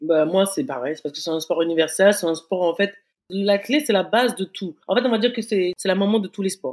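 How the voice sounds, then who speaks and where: A woman talks at a fairly quick pace in a normal speaking voice, her medium pitch carried by lively intonation. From Africa. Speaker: retired athlete. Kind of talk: casual interview.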